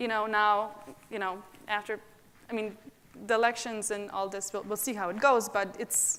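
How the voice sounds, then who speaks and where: A woman speaks with a non-native accent at a moderate pace, her pitch fairly high and her tone bright and sharp. Her intonation stays monotone and flat, broken by long, frequent pauses. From abroad, immigrated to US at 20. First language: not English. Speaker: nonprofit founder. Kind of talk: panel discussion.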